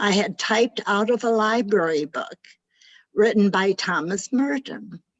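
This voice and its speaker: At a very slow pace, a woman speaks in a fairly high voice. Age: 90s. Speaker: participant. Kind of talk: casual chat.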